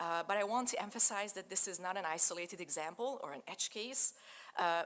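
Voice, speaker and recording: At a fairly quick pace, a woman speaks in a medium pitch with lively intonation. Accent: Hungarian. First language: Hungarian. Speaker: digital humanities researcher. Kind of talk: lecture.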